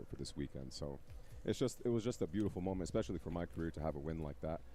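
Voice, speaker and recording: A man with a very deep, low pitch and a dark, mellow tone talks at a very fast pace, with vocal fry and lively intonation. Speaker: esports pro player and podcaster. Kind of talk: interview. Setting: on a couch at a live tournament broadcast.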